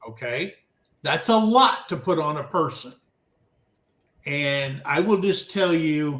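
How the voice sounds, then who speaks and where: Speaking very slowly, a man uses a fairly high pitch and lively intonation. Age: 60s. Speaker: livestream co-host. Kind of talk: casual chat. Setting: livestream panel.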